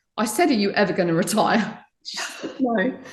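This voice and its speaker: A woman's voice with audible room echo. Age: 50s. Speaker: tech leader and charity founder. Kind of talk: interview.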